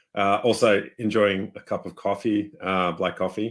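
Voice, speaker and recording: With an Australian accent, a man speaks at a fairly low pitch and with fairly even intonation. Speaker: software developer. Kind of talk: webinar chat. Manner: casual, many fillers.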